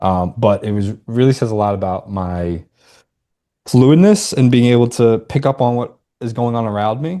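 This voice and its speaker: Dark, mellow male voice with ordinary pitch variation and a quiet background. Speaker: astrology podcast co-host. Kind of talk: casual chat. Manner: sometimes slurs words.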